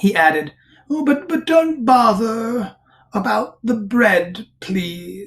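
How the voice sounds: In a natural reading voice, the words rise and fall with lively intonation.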